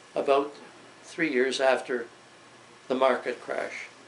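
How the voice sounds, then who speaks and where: A man speaks in a Canadian accent at a medium pitch. Noticeable background noise is present. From Canada, Toronto. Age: 80s+. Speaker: WWII-era elder recounting his life. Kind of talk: oral history interview. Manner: halting, with frequent hesitations.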